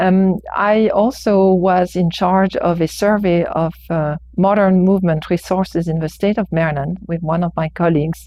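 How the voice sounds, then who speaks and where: A woman speaks in a fairly low pitch at a moderate pace. She leaves hardly any pauses. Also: fairly even intonation. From France. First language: French. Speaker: architecture professor. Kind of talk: public testimony. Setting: planning board hearing. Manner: hesitant, many fillers.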